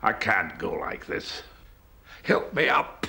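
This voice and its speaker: Putting on a raspy, theatrical character voice, a man speaks at a fairly slow pace. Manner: acerbic, theatrical, rambling.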